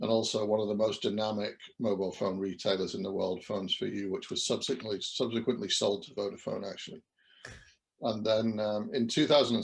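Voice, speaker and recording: A man with a British accent, talking at a fairly quick pace against a quiet background. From English Midlands, near Birmingham. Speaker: company CEO. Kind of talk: interview.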